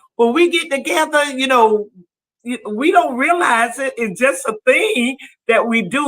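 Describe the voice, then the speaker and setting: Projecting a raised voice, a woman speaks at a high pitch and a fairly slow pace, her tone bright and sharp and her intonation lively. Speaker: talk show host. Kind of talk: casual chat. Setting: studio. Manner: loud when adamant.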